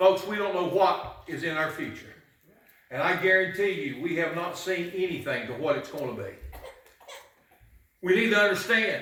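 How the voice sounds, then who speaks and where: A man's raised, projected voice, high in pitch, at a moderate pace with long, frequent pauses and audible room echo. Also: ordinary pitch variation. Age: 60s. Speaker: pastor. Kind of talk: sermon. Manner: animated.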